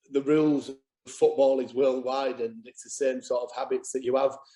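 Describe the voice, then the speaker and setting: In a Yorkshire accent, a man talks with a dark, mellow tone. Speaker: football manager. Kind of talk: interview.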